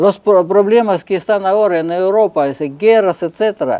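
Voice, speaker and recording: A man with a Russian accent speaks at a high pitch and a moderate pace, with ordinary pitch variation. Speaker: figure skater and coach. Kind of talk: interview. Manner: halting.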